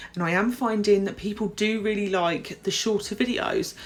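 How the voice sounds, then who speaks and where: At a moderate pace, a woman with a British accent speaks at a medium pitch. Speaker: nail technician and tutorial youtuber. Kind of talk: tutorial voiceover. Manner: casual, slightly halting.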